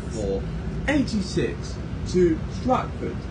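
Loud background noise runs beneath a man speaking at a fairly slow pace. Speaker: bus enthusiast vlogger. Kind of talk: casual vlog chat. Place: bus. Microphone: phone near.

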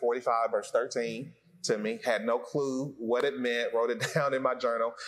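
Against a quiet background, a man is speaking. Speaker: pastor; associate pastor. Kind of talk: testimony. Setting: church. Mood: earnest, sincere. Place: empty room. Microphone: lapel.

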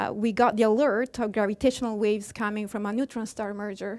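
A woman with an Italian accent speaks against a quiet background. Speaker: astrophysics professor. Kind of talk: public science lecture. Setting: stage with audience. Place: hall.

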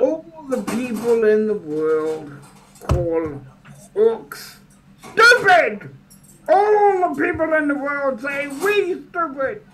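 This is a put-on character voice. It moves at a very slow pace with long, frequent pauses. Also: man, extremely high pitch for a man. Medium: actual play. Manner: exasperated, scolding.

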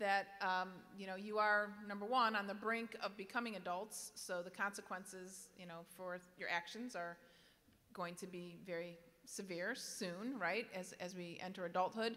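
A woman's bright, sharp tone at a moderate pace, with fairly even intonation. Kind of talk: address to students. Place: hall. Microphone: podium.

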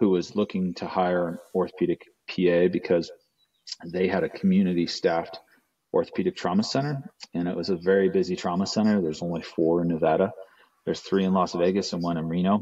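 Spoken at a very fast pace with fairly even intonation, the voice has a dark, mellow tone against a quiet background. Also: man, very deep, low pitch for a man. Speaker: remote podcast guest. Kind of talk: interview answer. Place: office. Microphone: video call.

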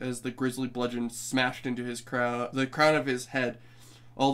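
Someone reads aloud in a natural voice.

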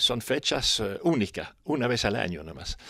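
A man talks at a fairly slow pace with vocal fry. The sound is dry with no echo, and the background is quiet. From Europe. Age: 70s. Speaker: motocross pioneer and organizer. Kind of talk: interview. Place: home room. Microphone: handheld.

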